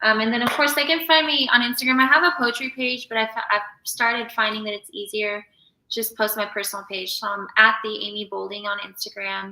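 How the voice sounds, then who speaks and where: Speaking at a fairly quick pace, a woman with an American accent uses a fairly high pitch and ordinary pitch variation. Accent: slight Southern, kept professional. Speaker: author. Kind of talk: casual interview chat. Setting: live stream.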